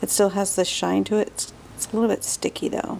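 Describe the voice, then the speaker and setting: Quiet and very fast, a woman speaks in a dark, mellow tone. Her pitch variation is ordinary. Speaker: craft tutorial maker. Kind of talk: casual craft tutorial talk. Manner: quiet, kept-down voice; chatty, rambling.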